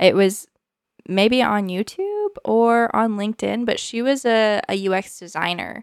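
With an unremarkable speaking voice, a woman speaks fairly slowly in a fairly high pitch, using ordinary pitch variation. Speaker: UX researcher. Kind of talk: casual chat.

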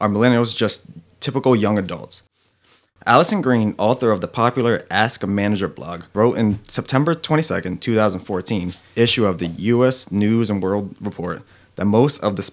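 On a very clean recording with a silent background, a man talks at a fairly quick pace in a fairly low pitch with ordinary pitch variation and an ordinary speaking voice. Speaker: podcast co-host. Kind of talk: reading aloud.

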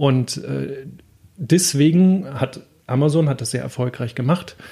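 A man talks at a fairly slow pace in a medium pitch. His tone is dark and mellow, and somewhat breathy. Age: 40s. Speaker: logistics entrepreneur. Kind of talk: interview. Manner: hesitant, many filler sounds.

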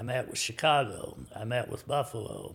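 A man speaks with an American accent. His voice carries vocal fry. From US Midwest, small-town Kansas. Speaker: businessman, club owner. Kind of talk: interview storytelling.

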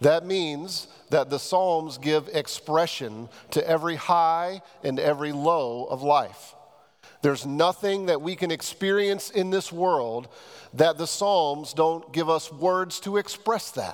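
In an unremarkable speaking voice, a man talks at a fairly slow pace. His pitch is fairly high with ordinary variation. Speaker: pastor. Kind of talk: sermon. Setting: church.

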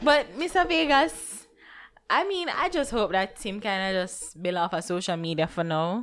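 In a Jamaican accent, a woman of medium pitch speaks at a moderate pace with very wide pitch swings. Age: 20s. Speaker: podcast co-host. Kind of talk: casual chat.

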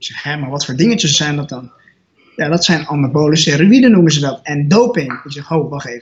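A man with a fairly high pitch and an unremarkable speaking voice talks at a fairly quick pace with lively intonation. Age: 20s. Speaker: natural bodybuilder and student. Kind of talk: podcast interview.

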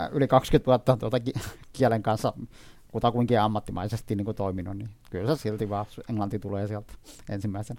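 A man with a fairly low pitch speaks at a fairly quick pace with fairly even intonation, broken by long, frequent pauses. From Iraqi Kurdistan. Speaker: dictionary editor. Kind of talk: interview. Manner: halting, many fillers and repetitions.

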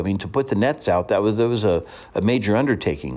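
With vocal fry, a man talks at a fairly quick pace. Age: 50s. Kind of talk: radio teaching monologue. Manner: conversational with frequent fillers.

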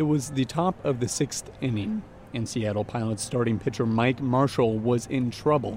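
In a normal speaking voice, a man talks at a moderate pace. His pitch is medium and varies in an ordinary way. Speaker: podcast reporter and host. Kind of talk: scripted narration.

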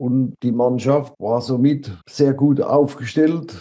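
Very slowly, a man speaks in a dark, mellow voice of medium pitch with ordinary pitch variation. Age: 80s+. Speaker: former athlete and world champion. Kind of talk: interview about his life.

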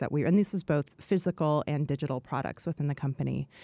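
Speaking fairly quickly with an American accent, a woman with a very deep, low pitch and ordinary pitch variation comes through on a very clean, dry, close recording with no echo and a silent background. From Oregon. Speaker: senior strategy consultant at a tech company. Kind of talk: casual interview chat.

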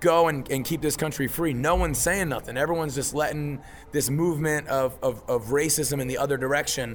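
An ordinary speaking voice: a man with an American accent, fairly high in pitch, at a fairly quick pace with fairly even intonation. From Philadelphia, US. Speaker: rock band singer. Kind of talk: casual interview.

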